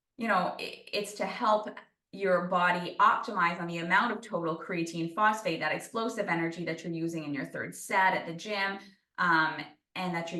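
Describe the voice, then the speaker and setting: Here a woman with a fairly low pitch talks at a fairly quick pace and fairly even intonation. Room echo is audible. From New Brunswick, Canada. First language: French. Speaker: sports nutritionist. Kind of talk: interview Q&A.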